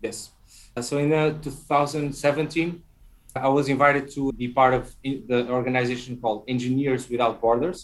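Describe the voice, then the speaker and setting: Speaking with a Portuguese accent, a man keeps a medium pitch, a moderate pace and fairly even intonation. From Portugal. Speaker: tech entrepreneur. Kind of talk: interview. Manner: halting.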